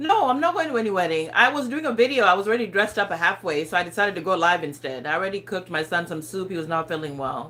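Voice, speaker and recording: With an African accent, the speaker talks at a very fast pace with hardly any pauses and very wide pitch swings, against noticeable background noise. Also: woman, medium pitch for a woman. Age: 40s. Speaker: lifestyle vlogger. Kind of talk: casual livestream chat. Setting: livestream. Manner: casual, hesitant with fillers.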